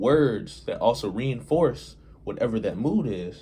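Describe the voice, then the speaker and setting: A man speaks very slowly in a dark, mellow tone with vocal fry. His pitch swings very widely. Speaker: hip-hop commentator and video creator. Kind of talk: casual monologue to camera. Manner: slow, deliberate; hesitant, filler-heavy.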